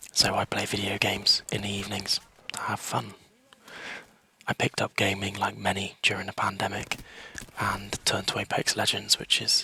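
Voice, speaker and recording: Someone whispers at a moderate pace with long, frequent pauses, recorded dry and close with no echo over noticeable background noise. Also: man. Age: 30s. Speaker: gaming YouTuber. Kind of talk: casual tutorial. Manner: half whispering.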